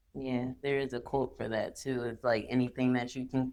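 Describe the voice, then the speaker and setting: At a moderate pace, a woman speaks with a very deep, low pitch and monotone, flat intonation. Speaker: podcast host. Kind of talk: interview. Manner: stuttering.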